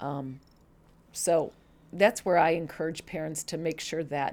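A woman speaks with a Chicago accent at a fairly slow pace. The recording is very clean, with a silent background. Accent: Chicago-area American. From US Midwest, Chicago suburbs, Illinois. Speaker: church member. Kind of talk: interview, personal story.

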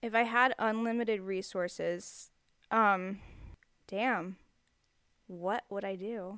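A woman speaks with an American accent at a medium pitch and a very slow pace. Her intonation is fairly even, and she leaves long, frequent pauses. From Texas. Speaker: street artist and writer. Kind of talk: casual interview chat. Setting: home studio in the desert.

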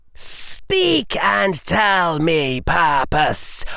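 A man speaks very slowly in a put-on character voice. His speech is hissing. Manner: cold, dangerous, hissing.

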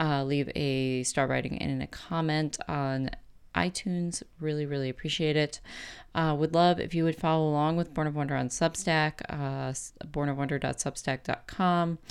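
On a very clean recording with a silent background, a woman with a very deep, low pitch speaks at a moderate pace and with fairly even intonation. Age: 30s. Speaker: podcast host. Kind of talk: solo podcast monologue.

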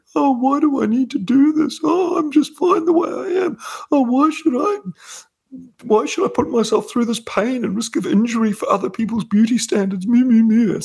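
A man in a put-on character voice sounds whiny, with an extremely high pitch and a moderate pace. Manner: whiny, complaining.

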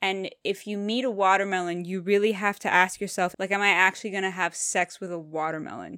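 On a very clean recording with a silent background and a dry, close sound with no echo, a woman with a Canadian accent speaks in a bright, sharp tone. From Canada. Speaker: podcast co-host. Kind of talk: casual chat.

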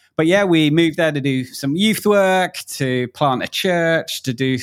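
A man with a South East London accent speaks with ordinary pitch variation on a very clean recording with a silent background. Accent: South East London, mockney (near-cockney). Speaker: podcast guest, youth and church worker. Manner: hesitant, many fillers.

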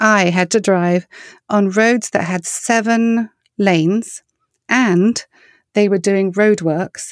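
A woman speaks with a southern English accent and ordinary pitch variation. The sound is dry and close with no echo, recorded very cleanly against a silent background. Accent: English (southern England). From southern England. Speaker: singer-songwriter and ministry founder. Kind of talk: casual interview chat.

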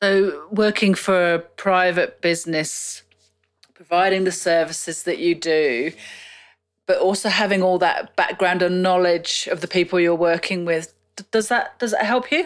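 A woman speaks with an Australian accent at a medium pitch. Her intonation stays fairly even at a moderate pace. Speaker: podcast host. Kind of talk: interview.

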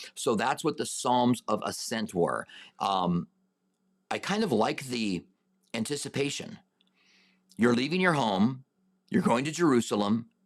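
A man with an American accent speaks at a fairly slow pace and medium pitch, with very wide pitch swings. Long pauses come often on a very clean recording with a silent background. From US Southwest, Albuquerque, New Mexico. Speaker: pastor. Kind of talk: Bible Q and A teaching; personal testimony. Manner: halting.

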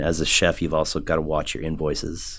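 With an American accent, a man speaks at a fairly quick pace in a very deep, low pitch. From Omaha, Nebraska (US Midwest). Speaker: chef and culinary instructor. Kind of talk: casual interview. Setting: studio. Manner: hesitant, many fillers.

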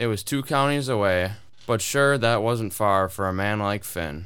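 At a fairly slow pace, a man speaks with a fairly low pitch, a fairly bright tone and ordinary pitch variation.

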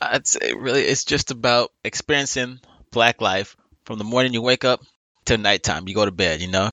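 A man with an American accent, medium pitch and moderate pace, an ordinary speaking voice. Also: ordinary pitch variation. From Los Angeles, South Central. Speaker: movie podcast guest. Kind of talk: casual chat.

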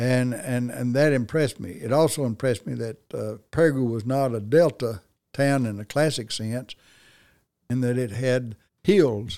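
In a very clean recording with a silent background, a man speaks in a dark, mellow tone with ordinary pitch variation. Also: medium pitch for a man, moderate pace. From Arkansas. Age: 70s. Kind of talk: casual interview conversation.

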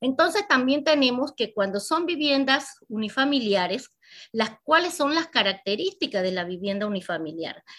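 Very wide pitch swings mark a woman's high voice on a very clean recording with a silent background. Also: moderate pace. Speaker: banking finance instructor. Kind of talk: lecture.

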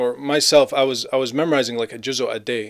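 It is an ordinary speaking voice, a man's, at a medium pitch. He talks at a fairly quick pace with fairly even intonation. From Gaza, Palestine and Canada. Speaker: Islamic speaker and YouTube video maker. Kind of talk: casual interview chat.

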